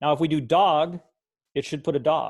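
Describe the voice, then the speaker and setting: A man is speaking very fast. Nothing much can be heard behind him. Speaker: computer science teacher trainer. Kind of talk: tutorial.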